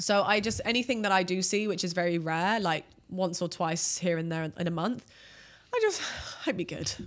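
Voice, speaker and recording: Speaking at a moderate pace with ordinary pitch variation, a woman uses an ordinary speaking voice. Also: medium pitch for a woman. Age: 30s. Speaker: OnlyFans creator and former personal trainer. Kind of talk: casual interview chat. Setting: studio.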